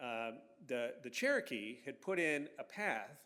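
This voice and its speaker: A man speaks with an American accent at a fairly high pitch. Audible room echo surrounds his voice. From Virginia, Franklin County and Northern Virginia. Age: 60s. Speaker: historian. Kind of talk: public lecture. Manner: casual, many fillers and restarts.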